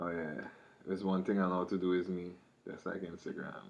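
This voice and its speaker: A man with a Trinidadian accent speaks at a very deep, low pitch. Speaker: rapper. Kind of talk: casual monologue. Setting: studio.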